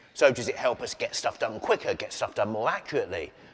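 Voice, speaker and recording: The speaker talks at a very fast pace in an Essex accent. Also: man. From England (Essex). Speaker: keynote speaker, entrepreneur. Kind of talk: keynote speech. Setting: stage with large audience.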